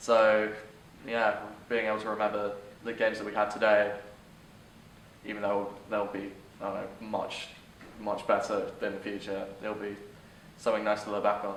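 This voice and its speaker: A man with fairly low pitch speaks at a moderate pace in monotone, flat intonation, with long, frequent pauses, audible room echo, and noticeable background noise. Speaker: interviewee in documentary. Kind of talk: interview answer.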